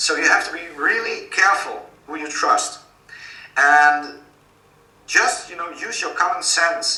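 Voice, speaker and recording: With a Dutch accent, a man speaks with long, frequent pauses amid noticeable background noise and audible room echo. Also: moderate pace, big swings in loudness. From Netherlands. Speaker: author and activist. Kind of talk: interview.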